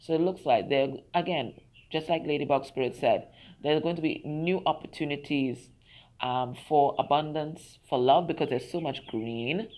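At a moderate pace, a woman speaks in a very deep, low pitch with ordinary pitch variation. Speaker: tarot reader. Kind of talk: tarot reading talk to viewers. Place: garden. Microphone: phone near.

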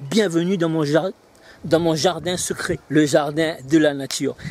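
The man's tone is animated, with ordinary pitch variation at a moderate pace. The sound is dry with no echo. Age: 40s. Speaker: business coach selling online training. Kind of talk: sales pitch. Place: garden.

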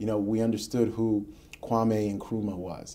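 At a moderate pace, a man with an American accent speaks in a dark, mellow tone at a fairly low pitch. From US Northeast, Queens, New York City; New York. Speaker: history professor and author; history professor. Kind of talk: radio interview. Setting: studio.

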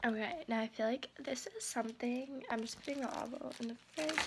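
Through noticeable background noise, a woman's high-pitched voice comes across with ordinary pitch variation. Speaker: vlogger. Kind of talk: casual vlog chat. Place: kitchen. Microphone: phone near.

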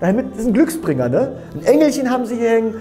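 A man is speaking. Faint music sits in the background. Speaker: religious lecturer. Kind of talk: sermon. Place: studio. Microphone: lapel.

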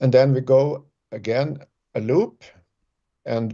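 Behind the man's talking, the background stays quiet. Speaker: remote guest. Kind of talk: interview answer. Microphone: video call.

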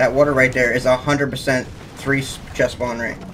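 Noticeable background noise behind a medium-pitched male voice. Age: 20s. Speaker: gaming content creator. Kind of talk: casual gaming chat. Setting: online voice chat while gaming. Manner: animated.

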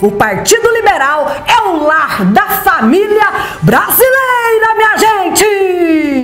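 Extremely high-pitched woman's voice, very slow and upbeat in tone, with audible room echo and faint music in the background. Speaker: rodeo announcer. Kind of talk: political campaign ad. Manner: upbeat, rallying.

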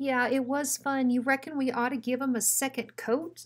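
Putting on a character voice, a woman talks in a whiny, high pitch at a moderate pace. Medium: read story. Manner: nervous, whiny, timid.

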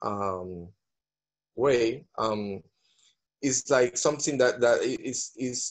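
A man at a very slow pace over a quiet background. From Venezuela. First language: Spanish. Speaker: visual artist. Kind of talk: panel discussion. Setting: video call. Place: home room. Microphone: video call.

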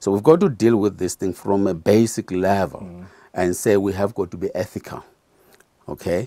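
A man with a dark, mellow tone talks at a moderate pace and fairly low pitch, with ordinary pitch variation. The sound is dry with no echo, over a quiet background. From South Africa. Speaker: trade union general secretary; guest. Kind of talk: interview. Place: studio.

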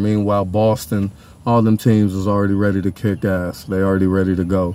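With an American accent, a man speaks at a moderate pace in a fairly low voice with a dark, mellow tone, the sound dry with no echo. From Pasadena, California. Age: 40s. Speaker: YouTuber and musician. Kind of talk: casual sports monologue. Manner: animated. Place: car. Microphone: phone near.

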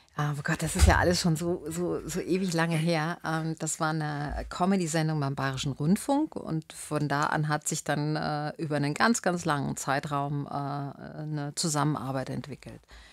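A woman with a very deep, low pitch speaks with fairly even intonation against a quiet background, the sound dry with no echo. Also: moderate pace. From Bavaria, Landshut; Bavaria. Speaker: actress and spiritual coach; actress, spiritual coach. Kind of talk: radio interview. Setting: radio studio. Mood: reflective, warm. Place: studio. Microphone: studio mic.

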